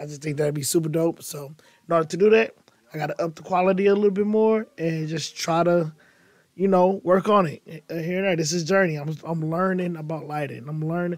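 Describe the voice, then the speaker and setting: Fairly quick, fairly even speech from a man with a high pitch. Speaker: podcast host. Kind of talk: casual chat.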